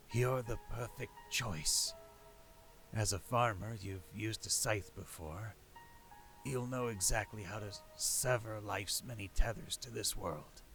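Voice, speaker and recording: Putting on a character voice, a man speaks croaky and wheezy at medium pitch and a fairly slow pace, with music in the background. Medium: audio drama. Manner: calm, persuasive.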